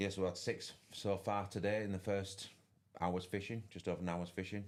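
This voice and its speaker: In a strong Yorkshire accent, a man speaks at a fairly low pitch with very even loudness and monotone, flat intonation. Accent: broad Yorkshire. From West Yorkshire, England. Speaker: fishing tournament commentator. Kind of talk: live commentary. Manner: fast. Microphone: too quiet.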